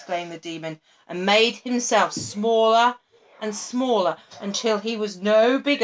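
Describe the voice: The pitch shows ordinary variation in this plain reading aloud.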